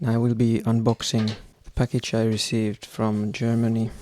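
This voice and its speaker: Soft-spoken, a man with a dark, mellow tone and a medium pitch is heard in a dry, close sound with no echo. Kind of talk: casual talk to camera. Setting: home room, unconditioned. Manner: slow.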